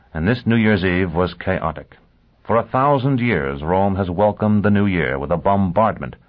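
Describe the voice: The text is given as plain reading aloud, its pitch varying in an ordinary way.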